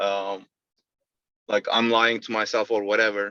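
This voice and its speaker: The tone is bright and sharp at a moderate pace. The sound is dry and close, with no echo. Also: man. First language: not English. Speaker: sales rep. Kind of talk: interview. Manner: halting.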